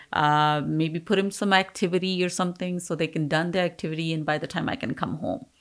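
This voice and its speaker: A woman with an Indian accent talks at a fairly quick pace in a fairly low voice with ordinary pitch variation, on a very clean recording with a silent background. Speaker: business owner. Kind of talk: interview.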